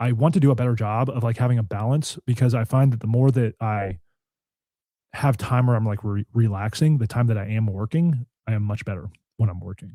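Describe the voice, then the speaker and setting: A man speaks at a fairly quick pace in a medium pitch with ordinary pitch variation and a dark, mellow, somewhat breathy tone. The recording is very clean with a silent background and a dry, close sound with no echo. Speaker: podcast host. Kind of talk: casual chat. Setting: live stream. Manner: soft-spoken.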